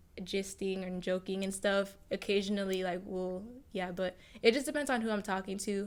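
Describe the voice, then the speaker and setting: At a moderate pace, an ordinary speaking voice keeps its intonation fairly even. The background is silent, and the recording is very clean. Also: woman, medium pitch for a woman. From Nigeria, moved to US at seven. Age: 18. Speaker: YouTuber. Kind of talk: casual podcast interview.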